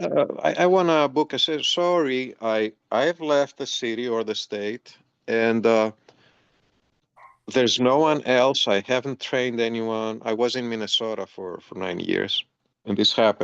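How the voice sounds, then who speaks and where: A man speaks in a normal speaking voice at medium pitch, with ordinary pitch variation and a fairly slow pace. The sound is dry and close, with no echo. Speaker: massage therapist. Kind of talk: interview.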